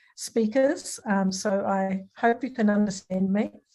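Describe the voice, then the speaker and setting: This woman has a New Zealand accent and a medium-pitched, dark, mellow tone. Her voice is somewhat breathy, and her intonation stays fairly even. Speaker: academic speaker on language revitalisation. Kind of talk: online lecture presentation. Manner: hesitant, many filler sounds.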